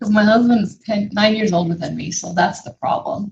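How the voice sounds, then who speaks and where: The voice is somewhat breathy. It belongs to a woman talking at a moderate pace. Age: 60s. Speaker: small business owner and furniture refinisher. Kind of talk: casual livestream chat.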